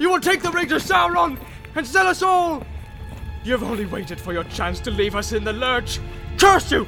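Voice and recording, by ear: A man uses a put-on character voice at an extremely high pitch, with vocal fry and a bright, sharp tone. His pitch varies in an ordinary way over faint background music. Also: moderate pace.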